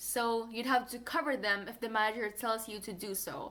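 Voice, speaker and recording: Someone with a non-native accent talks at a moderate pace in a bright, sharp tone. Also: woman. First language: not English. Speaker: fast food worker and vlogger. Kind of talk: casual vlog advice.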